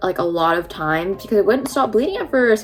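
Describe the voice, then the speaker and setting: Over noticeable background noise, the speaker races along at a very fast pace with lively intonation and an animated tone. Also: woman. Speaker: beauty and lifestyle vlogger. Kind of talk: casual vlog storytelling. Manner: chatty, animated.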